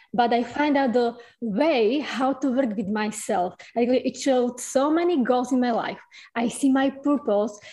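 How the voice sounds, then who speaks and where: A woman's high-pitched voice with a strong non-native accent, ordinary pitch variation, very even loudness and a moderate pace. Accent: strong foreign. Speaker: audience member asking a question. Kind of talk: live Q&A question. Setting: video call. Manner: halting.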